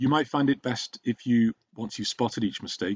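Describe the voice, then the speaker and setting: Talking at a fairly quick pace, a man with a normal speaking voice and medium pitch uses ordinary pitch variation. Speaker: home-school tutor. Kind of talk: tutorial.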